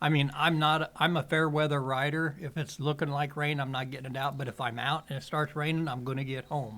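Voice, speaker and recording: Speaking at a fairly quick pace, a man has an American accent. His fairly high voice stays monotone and flat. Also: hardly any pauses. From southwestern Illinois, Wood River area. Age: 60s. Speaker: podcast guest. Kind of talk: casual chat. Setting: cigar shop.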